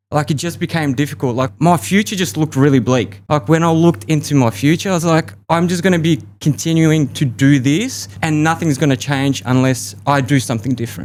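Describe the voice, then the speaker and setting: Barely pausing, a man talks fairly quickly in a fairly high voice. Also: lively intonation. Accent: Australian. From Australia. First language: Russian. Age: 30s. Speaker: podcast guest, expat. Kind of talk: interview conversation.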